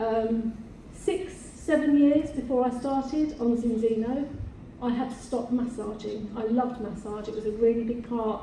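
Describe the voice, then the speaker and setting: In an English accent, a woman with a high pitch and ordinary pitch variation speaks at a moderate pace, with audible room echo and noticeable background noise. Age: 60s. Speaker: beauty salon owner. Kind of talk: panel discussion.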